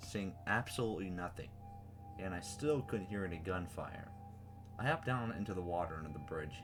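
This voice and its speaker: Speech at a fairly quick pace plays over music in the background. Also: man. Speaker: creepypasta reader and writer. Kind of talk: horror story reading.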